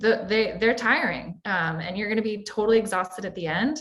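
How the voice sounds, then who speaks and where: Here is a woman with an American accent and an unremarkable speaking voice. She keeps a moderate pace, a fairly high pitch and ordinary pitch variation. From Florida. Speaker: career services moderator. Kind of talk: panel discussion.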